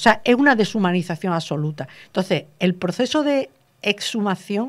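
A woman is talking. She uses lively intonation. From Andalusia, Granada province (small village); Andalusia. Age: 60s. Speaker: teacher and researcher, author; teacher. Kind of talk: interview. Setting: radio studio. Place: studio. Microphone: studio mic.

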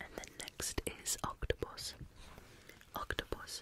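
A woman's soft-spoken whispering. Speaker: channel host. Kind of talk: soft-spoken reading of a children's book, ASMR style. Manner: soft ASMR whisper close to microphone. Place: home room. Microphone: studio mic.

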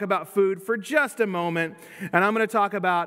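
A man's raised, projected voice with a bright, sharp tone, ordinary pitch variation and a fairly quick pace over a quiet background. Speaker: pastor. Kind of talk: sermon. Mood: light, joking. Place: church.

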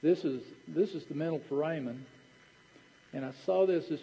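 In a Southern US accent, a man speaks with a dark, mellow tone. His pace is fairly slow, with ordinary pitch variation. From Tennessee. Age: 60s. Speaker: dentist. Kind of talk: lecture. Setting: stage with audience. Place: hall.

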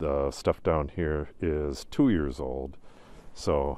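Very deep and low, a man's voice carries a dark, mellow tone and vocal fry, heard as a dry sound with no echo over light background noise. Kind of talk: casual vlog chat. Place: forest. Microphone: phone near.

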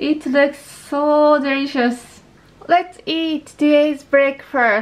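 Speaking with a Japanese accent, a woman uses a high pitch at a very slow pace. The recording is very clean, with a silent background. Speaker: lifestyle vlogger. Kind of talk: vlog narration.

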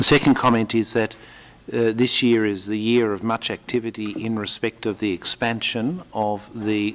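The man's voice is fairly low in pitch, and his intonation stays fairly even. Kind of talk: press conference statement. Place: hall. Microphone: podium.

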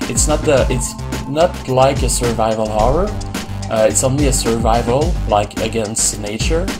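A man speaks while clear music plays behind him. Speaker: gamer. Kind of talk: casual gameplay commentary. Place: home room.

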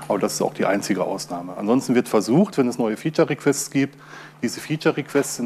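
Against light background noise, a man speaks with lively intonation. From Ruhr area, Germany. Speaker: open source software user and conference speaker. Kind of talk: conference talk. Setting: stage with audience. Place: hall.

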